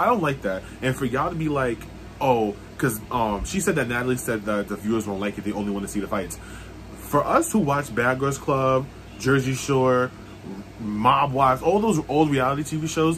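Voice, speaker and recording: Light background noise sits behind a man talking at a moderate pace with lively intonation. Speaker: reality TV reaction vlogger. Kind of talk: casual vlog chat. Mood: opinionated, annoyed at the show. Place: home room. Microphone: phone near.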